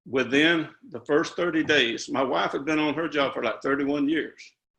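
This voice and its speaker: In a Southern US accent, a man speaks at a moderate pace with a bright, sharp tone. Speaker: retired construction worker. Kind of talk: testimony. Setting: video call.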